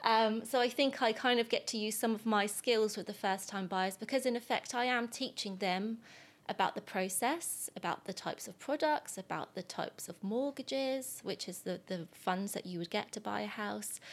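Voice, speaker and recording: Speech in a southern English accent moves at a moderate pace with hardly any pauses. The pitch varies in an ordinary way. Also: woman, fairly high pitch for a woman. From southern England, Southampton. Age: 20s. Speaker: mortgage advisor. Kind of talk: casual chat.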